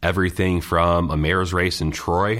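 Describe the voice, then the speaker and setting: With an upstate New York accent, a man speaks in a very deep, low voice with fairly even intonation. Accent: upstate New York American. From upstate New York (Scotia, near Schenectady). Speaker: political organizer. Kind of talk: interview.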